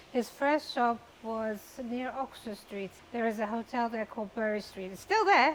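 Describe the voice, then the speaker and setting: A woman's fairly high voice at a moderate pace, with ordinary pitch variation, big swings in loudness and noticeable background noise. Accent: Persian. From Iran, Tehran, then London. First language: Persian. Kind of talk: interview.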